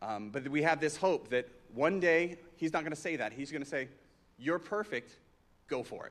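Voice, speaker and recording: This man has an unremarkable speaking voice, fairly high in pitch. His pitch variation is ordinary. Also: moderate pace. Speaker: song leader. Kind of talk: casual announcements. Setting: church.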